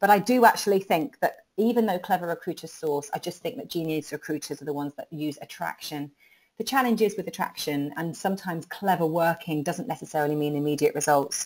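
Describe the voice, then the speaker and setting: A woman with a British accent talks at a very fast pace with hardly any pauses. Her pitch is fairly low and her intonation lively. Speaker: recruitment marketing trainer. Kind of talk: webinar presentation. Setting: online webinar. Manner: animated.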